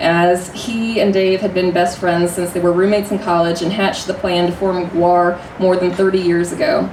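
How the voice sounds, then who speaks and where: A woman's medium-pitched, monotone, flat voice at a moderate pace, hardly any pauses, and noticeable background noise. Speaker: stage performer. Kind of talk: reading a prepared speech to a live audience.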